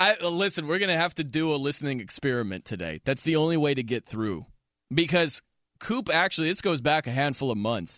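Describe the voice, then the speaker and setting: An unremarkable speaking voice from a man with an American accent, lively intonation and a moderate pace, on a very clean recording with a silent background. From US Midwest (South Bend, Indiana). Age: 30s. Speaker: sports radio host. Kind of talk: sports talk radio. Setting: radio studio.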